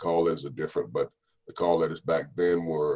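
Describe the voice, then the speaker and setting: A man is speaking. He talks in a Southern US accent. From US South, North Carolina (Raleigh-Durham). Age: 60s. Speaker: radio DJ. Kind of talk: interview. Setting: video call.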